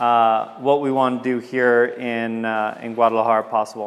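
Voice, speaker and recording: A man speaks with an American accent. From Southern California. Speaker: tech entrepreneur. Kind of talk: presentation. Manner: casual with many fillers.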